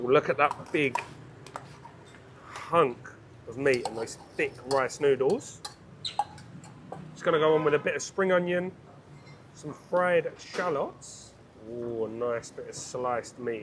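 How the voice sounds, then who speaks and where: A man with a British accent talks at a fairly slow pace and a fairly high pitch, with long, frequent pauses. His loudness swings widely, and there is noticeable background noise. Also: ordinary pitch variation. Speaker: food vlogger. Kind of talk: travel food vlog commentary. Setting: quiet restaurant. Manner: quiet; animated.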